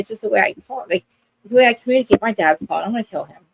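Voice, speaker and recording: Fairly high in pitch, a woman with a New Jersey accent sounds animated, with ordinary pitch variation. The sound is dry and close, with no echo. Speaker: live stream co-host, reality TV recapper. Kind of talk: casual chat. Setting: live stream.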